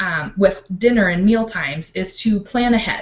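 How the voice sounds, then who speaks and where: A woman's somewhat breathy, medium-pitched voice at a fairly slow pace. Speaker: life coach. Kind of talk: online training talk.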